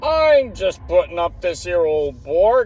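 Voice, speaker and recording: In a put-on character voice with a rural English accent, a man mumbles at a fairly slow pace. His pitch is high, and light background noise sits beneath him. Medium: read story. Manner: slurred, mumbling, sly.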